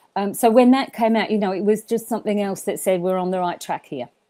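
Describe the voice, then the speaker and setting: In an Australian accent, a woman speaks with a dark, mellow tone. The recording is very clean and the background silent. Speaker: event management school leader. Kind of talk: podcast interview. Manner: animated; halting.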